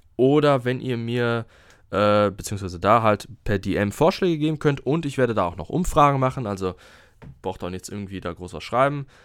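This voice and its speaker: Lively intonation and big swings in loudness mark this moderately paced speech in a very clean recording with a silent background. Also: man, medium pitch for a man. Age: 20s. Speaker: podcast host, health management student. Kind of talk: solo podcast monologue. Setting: alone in his room. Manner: halting, many fillers.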